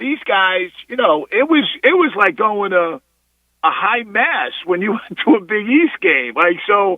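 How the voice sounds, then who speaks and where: The man's voice is high-pitched, with very wide pitch swings. He speaks fairly slowly in an American accent. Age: 60s. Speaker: basketball coach. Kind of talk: radio interview.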